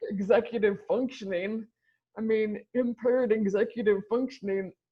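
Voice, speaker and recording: A woman's somewhat breathy, fairly high voice at a moderate pace, with fairly even intonation. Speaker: ECT survivor and brain injury advocate. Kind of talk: interview answer. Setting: recorded interview call.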